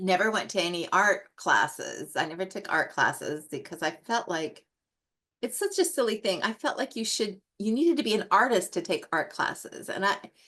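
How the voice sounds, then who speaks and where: Against a quiet background, a woman at medium pitch speaks at a moderate pace with a bright, sharp tone and lively intonation. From US Northwest. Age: 60s. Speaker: colored pencil artist and educator. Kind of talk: casual interview chat. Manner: halting, many fillers.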